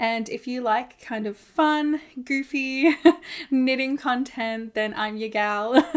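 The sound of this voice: A woman with an Australian accent speaks slowly in a fairly high voice, her intonation fairly even.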